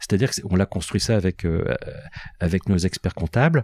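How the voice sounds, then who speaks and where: In a very clean recording with a silent background, a man speaks in a very deep, low pitch. His tone is dark and mellow, and the sound is dry and close with no echo. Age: 60s. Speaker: company founder. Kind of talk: interview.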